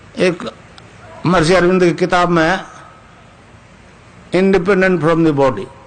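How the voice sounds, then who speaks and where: Over noticeable background noise, a man with a high voice talks at a moderate pace in a fairly even intonation, leaving long, frequent pauses. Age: 80s+. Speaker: spiritual teacher. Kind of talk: spiritual discourse.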